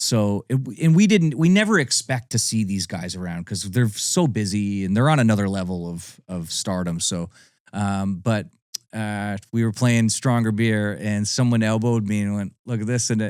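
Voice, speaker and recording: On a very clean recording with a silent background, a man with a normal speaking voice and a Canadian accent talks at a moderate pace, his fairly low pitch showing ordinary pitch variation. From Ontario, Canada (Niagara Falls). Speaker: country singer. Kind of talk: casual interview chat.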